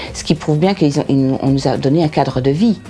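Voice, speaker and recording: A woman with a very deep, low pitch, lively intonation and a fairly quick pace, against noticeable background noise. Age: 60s. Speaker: resident of a housing estate. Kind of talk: interview.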